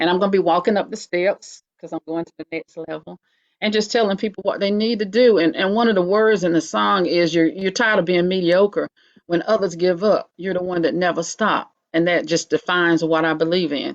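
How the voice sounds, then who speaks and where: With a North Carolina accent, a woman speaks at a fairly quick pace and ordinary pitch variation. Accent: US Southern (North Carolina). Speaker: writer, poet and nurse. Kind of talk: interview. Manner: fast.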